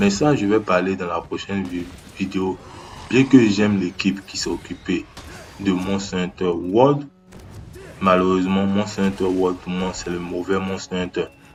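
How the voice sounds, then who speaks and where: Over music in the background, a man with a very deep, low voice speaks at a fairly slow pace with fairly even intonation and long, frequent pauses. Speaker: gaming youtuber. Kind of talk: improvised video commentary. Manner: halting, searching for words. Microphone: no microphone, low sound quality.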